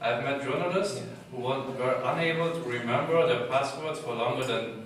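A man talks at a moderate pace amid strong room echo and light background noise. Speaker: conference speaker. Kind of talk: talk presentation. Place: hall. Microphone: camera far.

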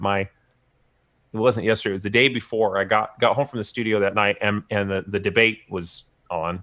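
With a normal speaking voice, a man talks at a fairly quick pace and fairly low pitch. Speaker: bass player and record producer. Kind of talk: casual chat. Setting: video call. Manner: casual.

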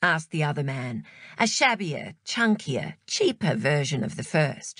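A woman speaks at a fairly slow pace in a somewhat breathy voice, her pitch swinging very widely. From Australia. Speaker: audiobook narrator. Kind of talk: audiobook narration.

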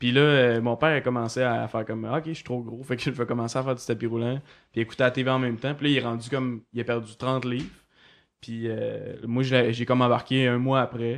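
A man speaks at a medium pitch and a fairly quick pace. His intonation is monotone and flat. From Quebec, Côte-Nord. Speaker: cartoonist. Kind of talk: casual chat.

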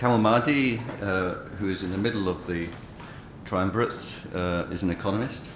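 Speech at a moderate rate is heard with noticeable noise in the background. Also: man. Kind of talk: conference introduction. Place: hall. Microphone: podium.

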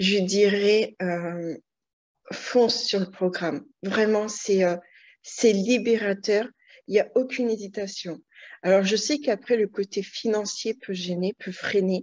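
A woman at a very slow pace, with long, frequent pauses, fairly even intonation and a quiet background. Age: 40s. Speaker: client giving a weight-loss testimonial. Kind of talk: testimony.

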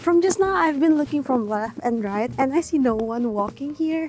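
Music plays in the background as a woman talks at a moderate pace with lively intonation. The sound is dry, with no echo. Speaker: travel vlogger. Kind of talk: casual vlog narration.

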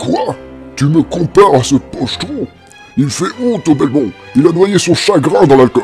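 A man's put-on character voice, fairly high in pitch, at a moderate pace with long, frequent pauses and clear music in the background. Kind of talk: comic overacting. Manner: cocky, mocking.

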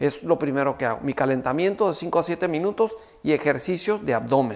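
A male speaker, medium pace, ordinary variation in pitch. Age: 50s. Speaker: fitness trainer. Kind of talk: tutorial. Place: studio. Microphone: lapel.

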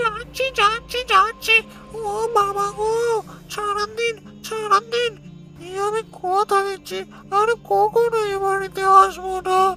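A whiny put-on character voice moves at a fairly slow pace. Clear music plays in the background. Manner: whining, pleading.

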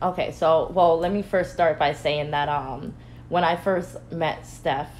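A woman speaks with an American accent in a very deep, low voice. Her intonation stays monotone and flat. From Connecticut. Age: 20s. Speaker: spiritual healer sharing mental health experience. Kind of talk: casual interview. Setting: live recorded interview.

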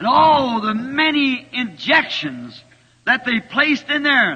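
Against a quiet background, a man with an American accent speaks very slowly in a raised, projected voice, his pitch extremely high with ordinary variation. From United States. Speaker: preacher. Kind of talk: sermon preached to a congregation. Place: church.

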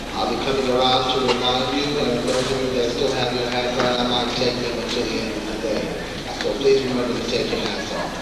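Over loud background noise and audible room echo, a man talks at a fairly quick pace. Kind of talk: assembly announcement. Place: hall.

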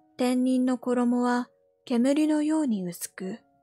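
Over music in the background, a woman with a high pitch and ordinary pitch variation speaks at a very slow pace. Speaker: VTuber. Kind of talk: sleep story reading. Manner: soft-spoken, calm.

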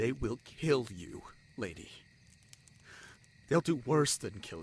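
A man puts on a character voice at a slow pace and medium pitch. His tone is slightly mellow with a slightly husky edge, and his pitch swings widely.

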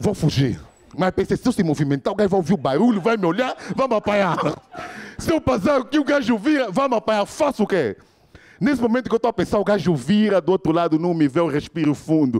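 Shouting at a very fast pace, a man with a high pitch and an animated tone makes very wide pitch swings while keeping his loudness very even. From Angola. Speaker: stand-up comedian. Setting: stage with live audience. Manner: animated, switching into shouted character lines. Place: stage. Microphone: handheld.

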